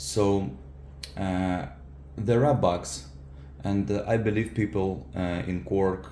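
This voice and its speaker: A man with a non-native accent speaks at a fairly slow pace with a very deep, low pitch. His pitch varies in an ordinary way, and there is audible room echo. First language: not English. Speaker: software engineer and keyboard user. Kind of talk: product feedback tutorial. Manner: halting, many fillers.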